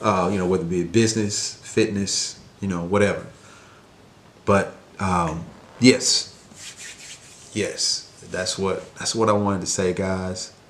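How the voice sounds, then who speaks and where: Quiet and monotone, a man with a fairly low pitch speaks at a fairly slow pace with long, frequent pauses and flat intonation, and the room echo is audible. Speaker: mentor and life coach vlogger. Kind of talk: casual vlog monologue. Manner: quiet, talking low; hesitant, many fillers.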